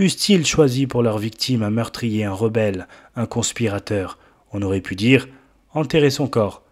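A man talks in a medium pitch with ordinary pitch variation. His pace is moderate. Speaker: preacher. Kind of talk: sermon. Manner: solemn, fervent, exhortative pulpit delivery; rising, impassioned, rhetorical appeals to the congregation.

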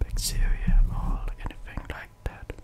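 Someone whispers in a gentle tone at a very slow pace, with noticeable background noise. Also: man. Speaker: ASMR content creator. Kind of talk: ASMR roleplay ear cleaning, speaking to the listener. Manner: soft, gentle, relaxing.

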